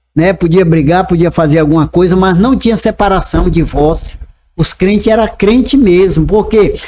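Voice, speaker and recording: The tone is dark and mellow, delivered at a moderate pace with ordinary pitch variation. Loudness stays very even throughout. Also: man, high pitch for a man. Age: 70s. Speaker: pastor. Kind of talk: casual chat.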